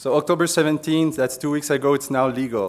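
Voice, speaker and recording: A man with a Quebec accent at a fairly quick pace. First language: French. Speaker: police officer. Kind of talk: conference presentation.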